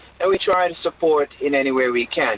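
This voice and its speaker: Over noticeable background noise, a man with a Jamaican accent talks at a moderate pace. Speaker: bishop, charity leader. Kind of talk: radio interview.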